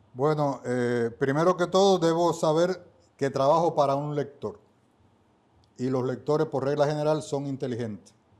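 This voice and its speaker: With an eastern Cuban accent, a man speaks at a moderate pace and a fairly high pitch, with ordinary pitch variation. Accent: Cuban Spanish (eastern Cuba). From Cuba, Holguín. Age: 70s. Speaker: book editor and writer. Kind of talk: podcast interview.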